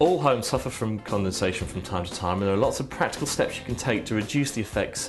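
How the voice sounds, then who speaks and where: A man's fairly low voice, upbeat and very fast with lively intonation, over background music. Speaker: presenter; actor, voice actor. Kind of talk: corporate informational presentation. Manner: upbeat, friendly.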